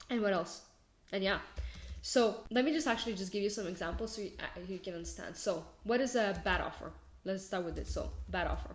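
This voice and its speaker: With a non-native accent, a woman talks at a fairly quick pace in a medium pitch, showing ordinary pitch variation and vocal fry amid audible room echo. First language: not English. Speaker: marketing agency owner and business coach. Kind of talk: casual tutorial. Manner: halting, many fillers and self-corrections.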